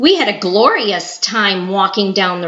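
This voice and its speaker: A woman delivers her lines in a dramatic tone. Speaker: storyteller. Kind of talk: story reading.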